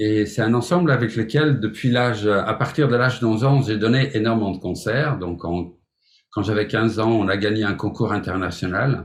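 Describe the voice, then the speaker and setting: The speaker is a man with a medium pitch. There is a somewhat breathy quality to his voice. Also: ordinary pitch variation, moderate pace. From Flemish Belgium. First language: Flemish (Dutch) (speaking French). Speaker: music teacher, piano pedagogue. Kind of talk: webinar presentation. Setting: online webinar. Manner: hesitant, with filler words.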